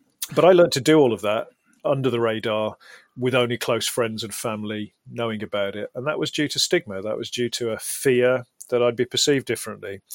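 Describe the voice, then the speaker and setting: A man with a British accent at a fairly quick pace, medium pitch and ordinary pitch variation, in a dry, close sound with no echo. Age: 40s. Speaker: mental health campaigner and public speaker. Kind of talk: interview. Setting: studio.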